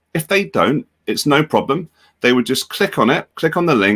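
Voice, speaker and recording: The speaker has a British accent and a moderate pace. The sound is dry and close, with no echo. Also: man. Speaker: edtech company education executive. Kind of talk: software tutorial demonstration. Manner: casual, conversational.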